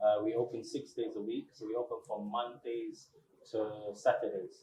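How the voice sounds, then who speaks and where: This man has a strong British accent and speaks at a moderate pace. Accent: thick accent, English (UK). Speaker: restaurant owner. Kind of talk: interview.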